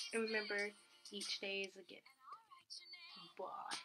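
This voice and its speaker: Music plays in the background. A woman speaks with a fairly high pitch. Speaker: vlogger. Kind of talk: casual vlog monologue. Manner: halting, many fillers.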